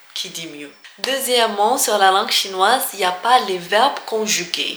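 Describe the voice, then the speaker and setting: A woman talks at a fairly slow pace and a medium pitch, with ordinary pitch variation, audible room echo and noticeable background noise. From Algeria. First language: Algerian Arabic and French (speaking French). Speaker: language teacher vlogger. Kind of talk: casual tutorial. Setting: office. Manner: hesitant with many fillers.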